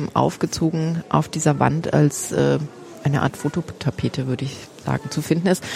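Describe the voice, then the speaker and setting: Noticeable background noise behind a female speaker. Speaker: foundation program director. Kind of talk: casual walking museum tour conversation. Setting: walking through a crowded museum.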